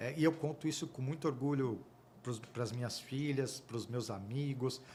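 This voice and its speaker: Somewhat breathy, a man speaks at a fairly slow pace in a medium pitch with fairly even intonation. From Brazil. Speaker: auditor and accounting firm partner. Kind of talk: podcast interview storytelling.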